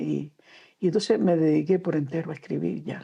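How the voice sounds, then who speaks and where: A woman with a Canarian accent speaks in a dark, mellow tone. Her pace is moderate, and the background is quiet. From Canary Islands (Gran Canaria). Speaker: storyteller and children's author. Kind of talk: interview. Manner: halting.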